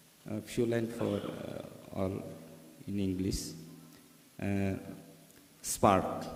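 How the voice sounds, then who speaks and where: In a room with audible echo, a man speaks very slowly at a fairly low pitch, with fairly even intonation and long, frequent pauses. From Tripura, northeast India. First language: Tripura (Kokborok). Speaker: poet. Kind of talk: poetry reading. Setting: literary festival stage with audience.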